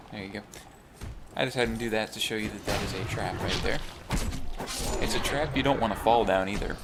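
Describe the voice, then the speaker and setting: A soft-spoken man talks in a room with audible echo and noticeable background noise. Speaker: gaming video host. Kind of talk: let's play commentary. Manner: casual. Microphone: may be too quiet.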